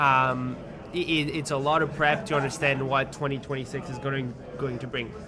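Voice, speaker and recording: A man with a French accent, fairly even intonation and a moderate pace, with audible room echo and noticeable background noise. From France. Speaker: tech company CEO. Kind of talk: interview. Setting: on site at a conference. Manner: halting, many repetitions.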